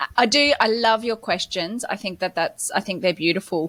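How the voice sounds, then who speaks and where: Speaking at a moderate pace in an Australian accent, a woman has a fairly high pitch and a bright, sharp tone. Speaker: podcast co-host, business coach. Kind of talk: casual podcast discussion.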